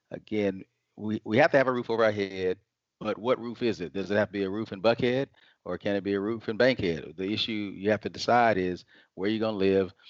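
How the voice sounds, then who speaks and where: An ordinary speaking voice with an American accent, moving at a fairly quick pace. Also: man, fairly low pitch for a man, ordinary pitch variation. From US South, Atlanta, Georgia. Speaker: financial advisor. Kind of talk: interview, explaining finances.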